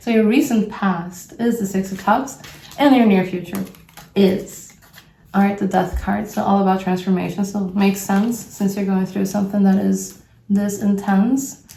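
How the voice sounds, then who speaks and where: A woman speaks at medium pitch and a moderate pace with fairly even intonation. Room echo is audible, along with noticeable background noise. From Brazil. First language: Portuguese. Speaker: tarot reader. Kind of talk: tarot reading. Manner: casual, thinking aloud with hesitations.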